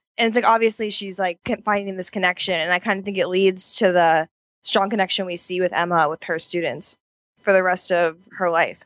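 A woman speaks in an unremarkable speaking voice at medium pitch with fairly even intonation. The sound is dry and close with no echo, on a very clean recording with a silent background. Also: fairly quick pace. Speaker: comics site editor. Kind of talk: casual chat.

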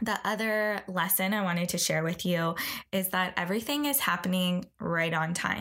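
A woman uses a plain, everyday voice at a medium pitch, speaking at a moderate pace with very even loudness. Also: ordinary pitch variation. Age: 30s. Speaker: podcast host. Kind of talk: casual monologue.

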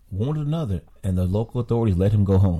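Very fast and somewhat breathy, a man speaks at a fairly low pitch with lively intonation and a dark, mellow tone. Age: 60s. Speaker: podcast panelist. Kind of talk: casual political discussion.

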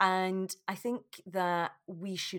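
On a very clean recording with a silent background, a woman speaks with a fairly low pitch. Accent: Scottish. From Scotland. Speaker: yoga teacher. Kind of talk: casual interview. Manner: laughs loudly.

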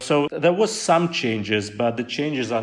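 A man's pitch shifts in an ordinary way as he talks at a moderate speed. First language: Russian. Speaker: pollster, research center deputy director. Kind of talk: interview. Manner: halting, many fillers.

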